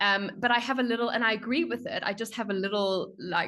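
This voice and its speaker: Against a quiet background, a woman with a strong South African accent talks at a moderate pace in a bright, sharp tone, with ordinary pitch variation. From South Africa, Johannesburg. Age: 20s. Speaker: strategy consultant. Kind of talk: podcast interview.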